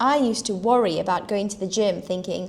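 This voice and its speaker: A woman talks with a South African accent at a medium pitch. Her pitch variation is ordinary. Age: 30s. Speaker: health and fitness coach for horsewomen. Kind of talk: live stream talk to viewers.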